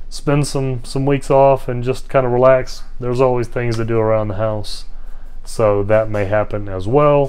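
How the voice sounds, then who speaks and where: A man with an American accent speaks at a medium pitch with fairly even intonation, and the room echo is audible. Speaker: hiking vlogger. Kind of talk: casual vlog monologue. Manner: mumbling at times; hesitant, many fillers.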